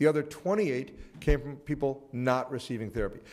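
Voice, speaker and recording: Amid audible room echo, a man talks at a fairly high pitch with lively intonation. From North Carolina. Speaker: HIV researcher. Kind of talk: conference presentation. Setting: auditorium panel. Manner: fast.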